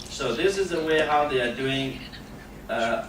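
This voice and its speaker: The man's pitch is fairly high, with ordinary variation. Audible room echo and noticeable background noise fill the recording. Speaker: human rights activist. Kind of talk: panel talk. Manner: halting.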